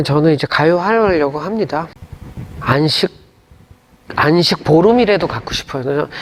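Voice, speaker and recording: Over noticeable background noise, a man with a fairly high voice speaks fairly slowly, with ordinary pitch variation and long, frequent pauses. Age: 60s. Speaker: gospel singer and pastor. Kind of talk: interview. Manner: casual conversational.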